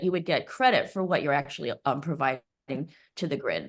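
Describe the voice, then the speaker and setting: A woman talks at a very fast pace with ordinary pitch variation. The background is quiet. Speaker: resident giving public comment. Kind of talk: public comment at a meeting. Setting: video call, camera off. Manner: halting, many fillers.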